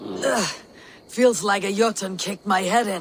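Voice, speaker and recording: As part of a put-on character voice, the speaker sounds raspy at a middle pitch and a moderate pace. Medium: video game.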